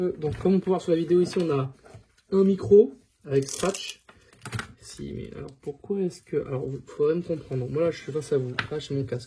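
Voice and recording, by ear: A man talks at a fairly quick pace in a fairly high pitch. His dark, mellow tone has a husky, rough edge. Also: ordinary pitch variation.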